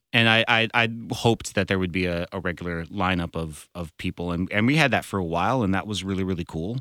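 Talking at a very fast pace, a man has a very deep, low pitch and ordinary pitch variation. The recording is very clean with a silent background and a dry, close sound with no echo. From San Francisco Bay Area. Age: 30s. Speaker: songwriter, pianist and comedian. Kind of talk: casual chat. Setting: recording studio.

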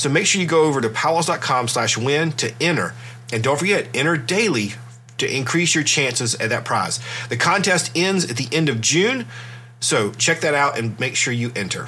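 With a bright, sharp tone, a man speaks at medium pitch and a moderate pace, his intonation lively.

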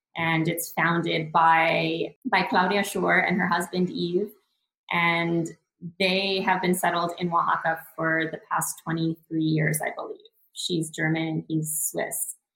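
Very slow and flat, a woman with a Western Canadian accent speaks in a fairly low, monotone voice. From Northern British Columbia, Canada (Prince George). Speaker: founder of a cultural travel project. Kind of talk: casual interview chat.

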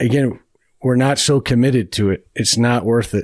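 A man's medium-pitched voice, with fairly even intonation, sits on a very clean recording with a silent background. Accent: American. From US Midwest, east side of Cleveland, Ohio. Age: 40s. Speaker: sport coaching professor. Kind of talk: interview conversation. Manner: halting, with frequent fillers and repetitions.

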